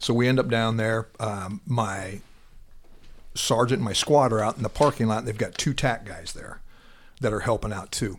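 A man with an ordinary speaking voice, medium pitch, ordinary pitch variation and a moderate pace, on a very clean recording with a silent background. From Iowa. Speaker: retired police officer, SWAT and narcotics. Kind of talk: casual interview, storytelling.

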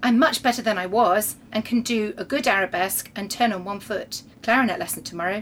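The tone is fairly bright, with ordinary pitch variation. The pace is fairly quick. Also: woman, medium pitch for a woman.

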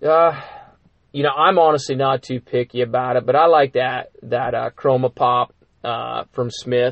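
An unremarkable speaking voice, this man talks at a moderate pace with medium pitch and fairly even intonation. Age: 40s. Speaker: podcast host, fly shop. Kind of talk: casual chat. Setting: studio.

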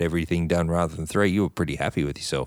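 This man has a very deep, low voice and an Australian accent. His pitch variation is ordinary. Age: 40s. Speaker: podcast co-host. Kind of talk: casual chat.

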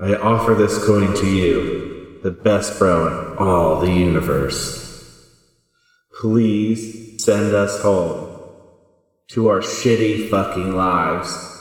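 In a loud, booming put-on character voice with a solemn tone, a man speaks at a fairly low pitch and a very slow pace, with strong echo. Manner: mock-solemn offering.

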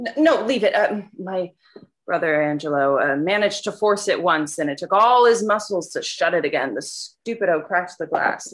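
Speaking in a plain, everyday voice, a woman talks at a moderate pace with a medium pitch and lively intonation. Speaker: tenant character. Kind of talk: audio drama period dialogue. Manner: feisty, blunt, street-wise, with Italian-American flavor.

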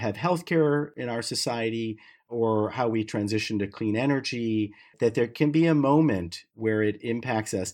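An unremarkable speaking voice from a man with an American accent, with ordinary pitch variation, against a quiet background. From US Midwest, Detroit suburbs. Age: 50s. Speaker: clean tech business founder. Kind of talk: interview.

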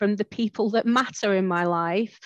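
A woman with a plain, everyday voice, fairly high in pitch, with fairly even intonation. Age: 40s. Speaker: arthritis patient. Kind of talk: casual chat. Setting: video call.

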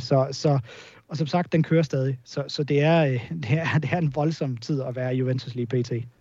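A somewhat breathy man's voice, dark and mellow in tone, at medium pitch with fairly even intonation. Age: 30s. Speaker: football journalist. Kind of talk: podcast interview. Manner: halting, many repetitions and fillers.

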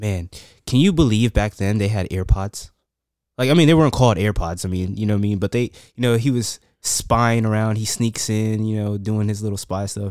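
A man talks fairly quickly in a plain, everyday voice, fairly low in pitch. His pitch variation is ordinary, and the recording is very clean with a silent background. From West Virginia Eastern Panhandle, early years in New York. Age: 20s. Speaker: podcast guest, father of five. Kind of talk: casual chat.

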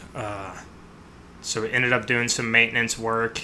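A man with an American accent talks at a moderate pace in a fairly low pitch. There is noticeable background noise. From US Midwest, mostly Chicago. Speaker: military pararescue operator. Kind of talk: interview.

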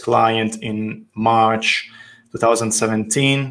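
In an Italian accent, a man speaks at a medium pitch with monotone, flat intonation. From Italy, Tuscany. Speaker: architect. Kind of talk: interview. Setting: call.

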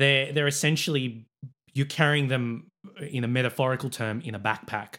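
With an Australian accent, a man speaks at a fairly quick pace in a medium pitch, his tone bright and sharp and his intonation fairly even. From Sydney, Australia. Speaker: sports club president and production manager. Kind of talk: casual interview chat.

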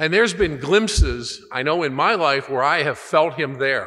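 This is an unremarkable speaking voice with lively intonation. The pace is moderate. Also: man. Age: 60s. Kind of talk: sermon.

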